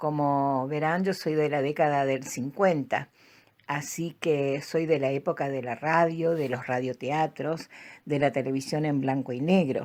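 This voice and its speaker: A very deep, low-pitched woman's voice at a fairly slow pace, with fairly even intonation, in a very clean recording over a silent background. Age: 70s. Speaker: storyteller. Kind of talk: personal reminiscence. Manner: hesitant, with fillers.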